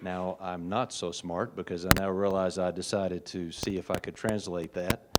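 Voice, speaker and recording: In an American accent, a man talks with a very deep, low pitch and a monotone, flat intonation. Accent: regional US accent, noticeable to locals. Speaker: hospitalist physician, conference speaker. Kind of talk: conference talk. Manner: slow.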